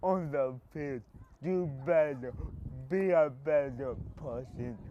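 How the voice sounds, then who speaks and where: This man talks at a very slow pace with an American accent. His pitch varies in an ordinary way. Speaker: college football team manager. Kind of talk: interview. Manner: halting.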